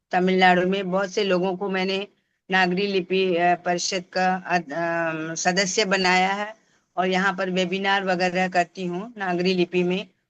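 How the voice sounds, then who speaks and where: A woman with a Tamil accent speaks at a medium pitch in a monotone, flat intonation. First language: Tamil (speaking Hindi). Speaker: Hindi professor and language promoter. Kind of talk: interview. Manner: halting, with fillers.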